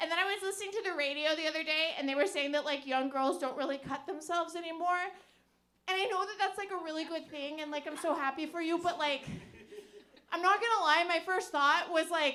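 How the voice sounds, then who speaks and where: Talking at a very fast pace in a raised, projected voice, a woman with an extremely high pitch and ordinary pitch variation is heard in a room with audible echo. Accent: American. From US Pacific Northwest, Portland, Oregon. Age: 30s. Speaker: stand-up comedian. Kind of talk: stand-up. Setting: stage with audience. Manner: halting.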